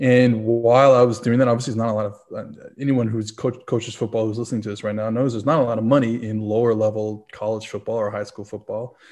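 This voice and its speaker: A man with an American accent speaks at a very fast pace. His pitch is medium, and his intonation is monotone and flat. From New Orleans, US South. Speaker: football analyst and writer. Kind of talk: casual interview chat.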